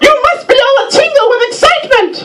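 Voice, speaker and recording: Squeaky, female-sounding put-on character voice at an extremely high pitch and a fairly quick pace. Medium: stage play.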